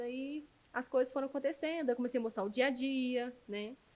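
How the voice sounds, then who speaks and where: This woman's voice sits at a high pitch. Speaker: journalist and digital influencer. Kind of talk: casual chat. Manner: fast; animated.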